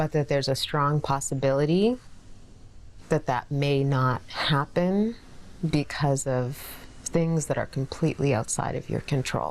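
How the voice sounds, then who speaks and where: A woman's very deep, low voice with a Canadian accent, fairly slow pace, ordinary pitch variation and long, frequent pauses. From Canada, Abbotsford BC. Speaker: mother and library founder. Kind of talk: documentary interview.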